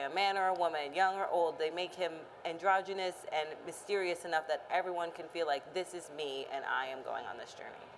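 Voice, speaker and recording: A woman with an American accent has an ordinary speaking voice, fairly low and fairly even in intonation. She talks at a fairly quick pace over light background noise. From Austin, Texas. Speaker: mental health researcher; panelist. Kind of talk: panel discussion. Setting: stage with audience. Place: hall.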